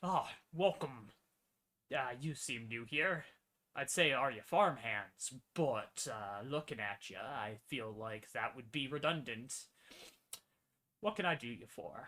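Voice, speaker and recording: The speaker uses a put-on character voice. The pace is fairly slow, with long, frequent pauses. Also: man, medium pitch for a man. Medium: actual play. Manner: folksy, casual.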